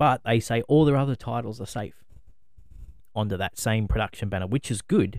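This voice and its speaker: Fairly low-pitched man at a fairly quick pace, ordinary pitch variation, in a very clean recording with a silent background. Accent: Australian. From Australia. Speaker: podcast co-host. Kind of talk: casual chat.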